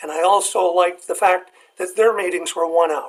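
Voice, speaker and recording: A man's high voice in a Canadian accent, with ordinary pitch variation. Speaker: retired biologist. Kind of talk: casual interview.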